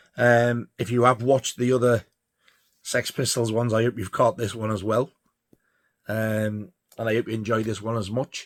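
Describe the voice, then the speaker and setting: A man with a Yorkshire accent speaks at a moderate pace and medium pitch, in a flat monotone with long, frequent pauses, the sound dry and close with no echo. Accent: northern English (Yorkshire). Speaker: record collector vlogger. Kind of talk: casual monologue. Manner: halting, stuttering; rambling, filler-heavy.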